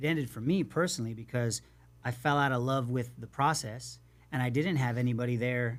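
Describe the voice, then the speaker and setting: In a very clean recording with a silent background, a man with an unremarkable speaking voice speaks at a medium pitch with fairly even intonation. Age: 50s. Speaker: youth sports coach and podcast host. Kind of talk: casual interview chat.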